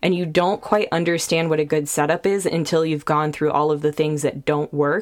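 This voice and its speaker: With an American accent, a woman speaks in a very deep, low pitch, her loudness very even, her intonation fairly even, and hardly any pauses. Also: moderate pace. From Sacramento, California. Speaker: podcast host. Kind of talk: casual interview.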